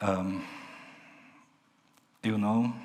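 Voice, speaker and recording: Audible room echo surrounds a man speaking at a very slow pace. His intonation is monotone and flat. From Transylvania, Romania. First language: Hungarian or Romanian (not English). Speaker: minister. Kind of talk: sermon. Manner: halting, many fillers and repetitions.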